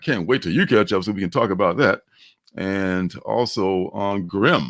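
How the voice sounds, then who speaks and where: Over a silent background in a very clean recording, a man speaks with a slight Mississippi accent. His pitch sits fairly low. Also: ordinary pitch variation, moderate pace. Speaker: comics livestream host. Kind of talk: casual chat. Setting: livestream.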